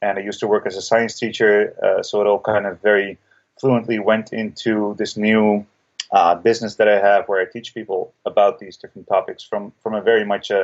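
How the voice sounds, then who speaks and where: A man with a Dutch accent speaks at a fairly quick pace in a flat monotone. His loudness swings widely. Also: fairly low pitch for a man. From Netherlands. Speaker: breathwork teacher and author. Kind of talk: podcast interview.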